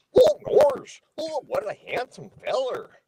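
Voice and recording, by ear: A put-on character voice at an extremely high pitch, at a fairly slow pace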